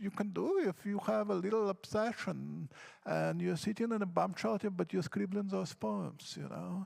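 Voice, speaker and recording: A moderate pace with a non-native accent. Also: man. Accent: foreign. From Odesa, Ukraine. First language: Russian. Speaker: poet. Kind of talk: panel discussion.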